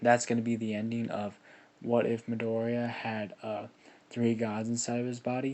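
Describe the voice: This is plain reading aloud. The delivery stays just that.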